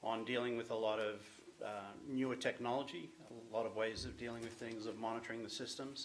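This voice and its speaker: At a fairly quick pace, a man with an Australian accent speaks in a flat monotone at a medium pitch, with noticeable background noise. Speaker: business owner presenting to a town committee. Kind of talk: presentation at a public meeting. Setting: town committee meeting room.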